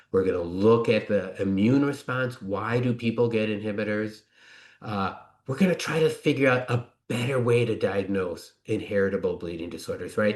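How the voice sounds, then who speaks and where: In an American accent, a man of medium pitch talks at a moderate pace with ordinary pitch variation, and room echo is audible. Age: 60s. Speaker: physician and researcher. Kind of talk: conference presentation. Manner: hesitant with fillers.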